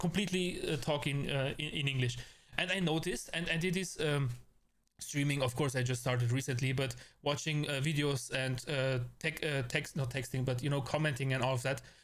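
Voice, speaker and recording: A man talks at a fairly quick pace with an Austrian accent. His pitch is fairly high, his loudness very even, his intonation fairly even, and his voice somewhat breathy. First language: German. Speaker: VTuber streamer. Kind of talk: casual live-stream chat. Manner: halting, many fillers and repetitions.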